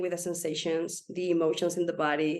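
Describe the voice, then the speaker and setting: At a fairly quick pace, a woman talks in a fairly low pitch. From Spain. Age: 40s. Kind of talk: interview answer.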